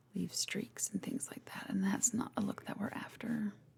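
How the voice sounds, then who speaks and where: Soft-spoken and gentle in tone, a woman talks with vocal fry. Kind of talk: soft-spoken ASMR makeup roleplay. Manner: soft-spoken, gentle.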